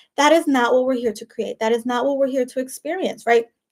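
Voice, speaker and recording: This is a woman with a high pitch. Her pitch varies in an ordinary way. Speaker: life coach. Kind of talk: motivational talk to camera. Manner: animated.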